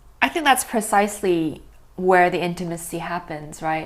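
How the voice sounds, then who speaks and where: A woman with a Chinese accent. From Hong Kong. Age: 20s. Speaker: poet. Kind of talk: casual chat.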